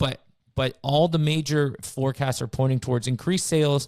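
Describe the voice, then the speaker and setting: The recording is very clean with a silent background, carrying a man's fairly high pitch, a normal speaking voice, and ordinary pitch variation. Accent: Canadian. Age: 30s. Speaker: realtor. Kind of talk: casual chat. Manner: fast, with many repeated words.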